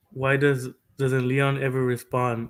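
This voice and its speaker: A man with a Mexican accent speaks at a fairly slow pace in a bright, sharp tone. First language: Spanish. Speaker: streamer. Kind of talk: casual livestream commentary. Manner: halting, frequent fillers and repetitions.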